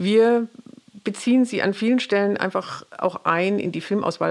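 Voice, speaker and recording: Speaking at a moderate pace, a woman has a plain, everyday voice, medium in pitch with ordinary pitch variation. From Pforzheim, Baden-Württemberg, Germany. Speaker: community cinema director. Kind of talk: interview.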